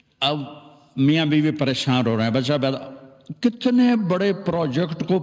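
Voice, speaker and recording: This man has a fairly high pitch and a normal speaking voice. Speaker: Islamic preacher / religious scholar. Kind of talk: religious sermon (bayan). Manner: conversational, folksy, addressing audience.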